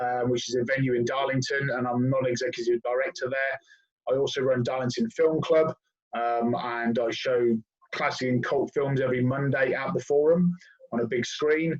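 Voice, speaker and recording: A somewhat breathy man with a southern English accent speaks at a moderate pace. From southern England, Oxford. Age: 40s. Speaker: guest, hip hop fan and DJ. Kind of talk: casual chat.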